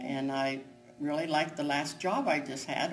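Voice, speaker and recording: A woman speaks with a very deep, low pitch while music plays in the background. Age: 80s+. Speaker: retail worker. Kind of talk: interview answer.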